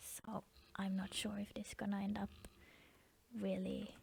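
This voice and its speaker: The voice is soft-spoken. It moves at a moderate pace. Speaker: digital artist. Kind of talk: soft-spoken ASMR drawing session. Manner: hesitant, repeats words.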